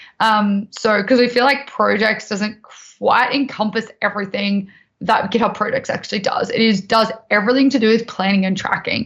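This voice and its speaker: A woman with an Australian accent speaks at fairly high pitch and a moderate pace. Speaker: tech presenter. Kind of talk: tutorial. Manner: casual, filler-heavy.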